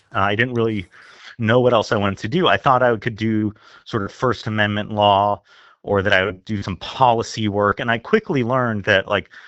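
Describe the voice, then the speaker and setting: This is a normal speaking voice moving at a fairly quick pace. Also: man, fairly low pitch for a man. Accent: American. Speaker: newspaper opinion editor. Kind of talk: casual interview.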